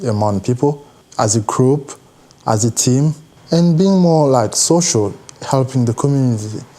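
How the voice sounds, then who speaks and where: Over noticeable background noise, a man talks at a moderate pace. His pitch is medium, with ordinary variation. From DR Congo. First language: not English. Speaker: university student and youth mentor. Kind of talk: documentary interview.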